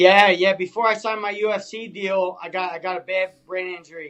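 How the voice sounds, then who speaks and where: A man speaks with a Philadelphia accent. His pitch is high, and his pace is moderate. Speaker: MMA fighter. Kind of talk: podcast interview answer.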